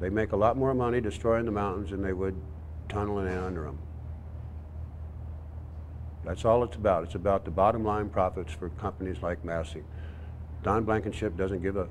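A man's very deep, low voice with ordinary pitch variation, over light background noise. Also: fairly quick pace. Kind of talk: interview answer. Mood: calm, firm conviction. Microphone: lapel.

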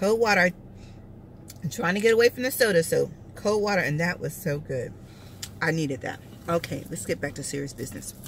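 A woman with a plain, everyday voice talks at a fairly quick pace and a fairly low pitch, her intonation lively. The sound is dry with no echo, and there is light background noise. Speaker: food vlogger. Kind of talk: casual mukbang review chat. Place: car. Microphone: phone near.

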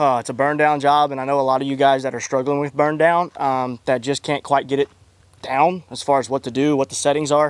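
Speaking at a fairly quick pace, a man comes through with a dry sound and no echo. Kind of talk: casual vlog chat. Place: farm machine. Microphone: handheld.

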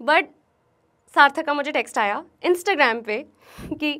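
A woman projects her voice loudly at a high pitch, her tone bright and sharp. Her intonation is lively, her pace moderate, and the background quiet. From New Delhi, India; India. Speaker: YouTuber. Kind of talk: motivational talk. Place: studio. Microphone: lapel.

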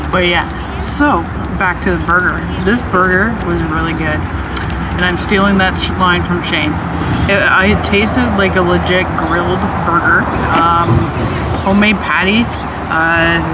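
Loud background noise accompanies a woman speaking at a fairly slow pace. Her speech has long, frequent pauses. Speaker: food reviewer. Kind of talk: casual vlog chat. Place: garden.

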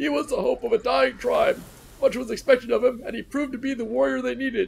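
A man does a put-on character voice at an extremely high pitch and a very fast pace. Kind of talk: storytelling.

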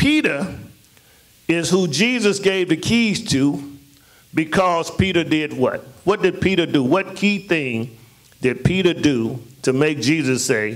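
A man speaks at a fairly slow pace with long, frequent pauses. The background is quiet. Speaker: pastor. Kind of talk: sermon. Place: church. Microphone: handheld.

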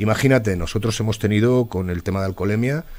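A man with a Madrid accent talks very fast at a fairly low pitch. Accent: central Spanish (Madrid). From Spain, Alcalá de Henares (Madrid); Spain. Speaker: local politician, former police officer; local politician. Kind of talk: interview. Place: studio. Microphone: studio mic.

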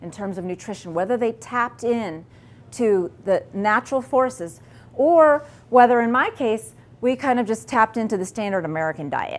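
With lively intonation and a moderate pace, a woman is speaking. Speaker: presenter. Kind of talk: lecture.

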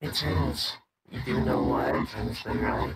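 In a raspy put-on character voice, a man with very deep, low pitch speaks at a moderate pace.

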